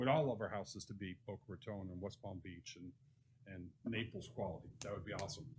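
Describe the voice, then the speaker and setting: Somewhat breathy delivery at a very fast pace. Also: man. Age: 60s. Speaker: real estate developer speaking at public meeting. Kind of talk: public comment at city commission workshop.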